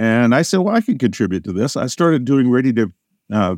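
Intonation is lively in this American accent, with a dry, close sound and no echo. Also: man. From US Midwest, southern Illinois. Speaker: atmospheric science professor. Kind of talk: interview.

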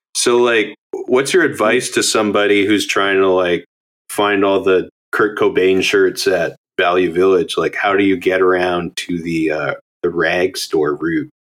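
In a western Canadian accent, a man speaks at a moderate pace, his fairly low voice showing ordinary pitch variation. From Alberta, Canada (Edmonton). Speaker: podcast host. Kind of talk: casual chat. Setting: video call.

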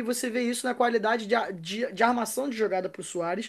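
A woman talks in a fairly high pitch. The recording is very clean, with a silent background. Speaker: football podcast co-host. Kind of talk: casual chat.

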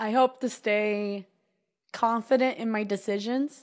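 Speaking very slowly in a fairly high voice with an American accent, a woman is heard on a very clean recording against a silent background. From Texas. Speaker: content creator. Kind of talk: casual chat. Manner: loud.

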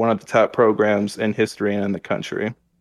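A man with an unremarkable speaking voice, medium pitch and an American accent, at a moderate pace against a quiet background. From Michigan. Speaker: sports podcast guest. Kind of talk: casual chat.

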